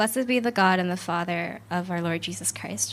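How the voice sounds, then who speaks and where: A woman's medium-pitched voice, an unremarkable speaking voice, with ordinary pitch variation and a fairly quick pace. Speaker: scripture reader. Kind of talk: reading aloud.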